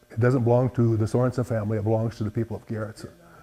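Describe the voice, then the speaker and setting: This voice has a dark, mellow tone and an Upper Midwest accent. Its intonation stays monotone and flat. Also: man. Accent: Upper Midwest American. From US Midwest, South Dakota. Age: 70s. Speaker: farmer and collector. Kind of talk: interview. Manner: halting.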